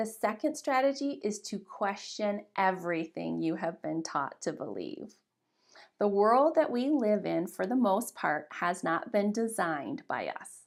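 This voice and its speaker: An energetic voice speaks at a fairly slow pace, its pitch swinging very widely. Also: woman, medium pitch for a woman. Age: 40s. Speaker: workshop leader. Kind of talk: online workshop talk. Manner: energetic, expressive.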